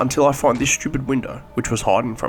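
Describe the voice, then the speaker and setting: Fairly quick male speech with music in the background. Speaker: gaming commentary YouTuber. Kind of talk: comedic gameplay voice-over narration.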